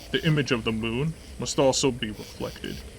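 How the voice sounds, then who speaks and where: Over clear background noise, a man does a gruff, put-on character voice at a medium pitch and a moderate pace. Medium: read story. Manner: gruff, blunt.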